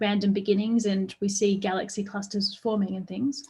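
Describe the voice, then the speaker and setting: Somewhat breathy and in a medium pitch, a woman with an Australian accent speaks with monotone, flat intonation. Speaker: astrophysics professor. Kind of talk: public science lecture. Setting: online live stream. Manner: fast.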